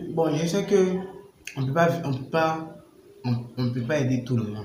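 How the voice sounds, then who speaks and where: Over audible room echo, a man speaks at a fairly slow pace with lively intonation. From Ivory Coast. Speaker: vlogger. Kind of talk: casual opinion vlog. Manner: halting, many repetitions.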